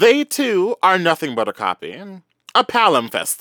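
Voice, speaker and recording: A man at a fairly slow pace with very wide pitch swings, an animated, bright and sharp tone, and a dry, close sound with no echo on a very clean recording against a silent background. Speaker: podcast co-host. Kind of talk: casual chat, comedic banter. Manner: animated, sassy, expressive.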